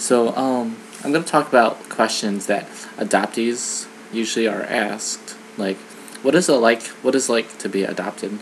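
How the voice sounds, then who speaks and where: With an American accent, a man talks at a moderate pace and medium pitch, with ordinary pitch variation, over noticeable background noise. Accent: Michigan accent, occasional. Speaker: vlogger. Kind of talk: personal vlog monologue. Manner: hesitant, many fillers.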